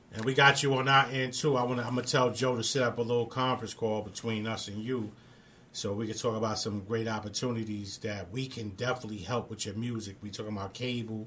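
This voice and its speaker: Speaking very fast with a New York accent, a man keeps his medium pitch on fairly even intonation. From New York, Brooklyn. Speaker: radio show host. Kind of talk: casual chat.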